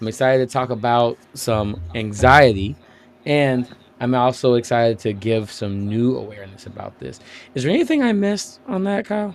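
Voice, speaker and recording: Loud and animated, a man with a medium pitch talks at a moderate pace, his pitch swinging very widely. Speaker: podcast host. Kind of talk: casual chat. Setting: livestream while gaming.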